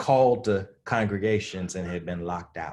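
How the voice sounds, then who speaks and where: Speaking at a fairly slow pace in a Southern US accent, a man sounds animated, with ordinary pitch variation. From US South. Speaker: divinity school dean and social ethicist. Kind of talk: conversational interview. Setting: virtual video conversation.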